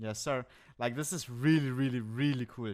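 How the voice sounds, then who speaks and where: Speaking at a fairly quick pace, a man with a German accent keeps a medium pitch on a very clean recording with a silent background. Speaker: Twitch streamer. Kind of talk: casual chat. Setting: live stream. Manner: animated; halting, many fillers.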